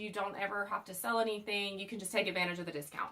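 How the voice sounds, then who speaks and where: A woman speaks with a Southern US accent and fairly even intonation. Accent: Southern American. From US South. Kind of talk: unboxing video. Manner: casual, chatty.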